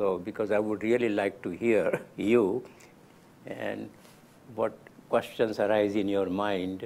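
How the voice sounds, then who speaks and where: Very slowly and with long, frequent pauses, a man speaks in a fairly low voice with monotone, flat intonation. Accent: Gujarati. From India (Gujarat). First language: Gujarati. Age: 90s. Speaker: lecturer. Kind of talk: lecture.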